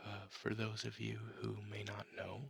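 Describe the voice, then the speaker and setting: A soft-spoken man whispers. His pace is very slow. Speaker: ASMR artist and comic book reader. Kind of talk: casual talk to camera introducing the series. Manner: whispered, soft-spoken.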